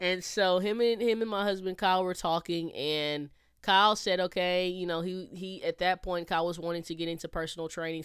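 With an American accent, this normal speaking voice moves at a fairly quick pace and keeps a fairly even intonation. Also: woman. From Texas. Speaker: podcast host. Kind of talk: casual solo talk, faith-based. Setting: recording alone at home. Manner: conversational, with many fillers.

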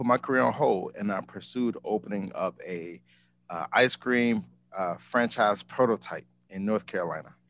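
With an American accent, a man speaks at a moderate pace in a dry, close sound with no echo. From Chicago, Illinois. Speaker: ice cream business owner. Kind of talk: casual interview.

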